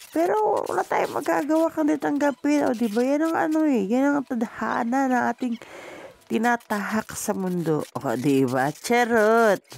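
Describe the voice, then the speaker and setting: A woman's voice with very wide pitch swings, very even loudness and a fairly slow pace. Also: fairly high pitch for a woman. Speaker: vlogger. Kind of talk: vlog voice-over narration.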